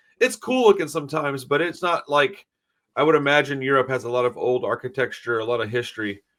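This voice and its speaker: Talking very fast, a man with an American accent has a fairly high pitch. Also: ordinary pitch variation. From USA. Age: 40s. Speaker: podcast host. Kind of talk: casual interview.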